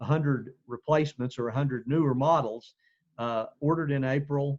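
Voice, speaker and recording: A man in a Southeastern Oklahoma accent, fairly high-pitched for a man, monotone and flat in intonation, at a moderate pace, with a dry, close sound and no echo. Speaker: school administrator. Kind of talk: community meeting briefing. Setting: video call. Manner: halting with fillers.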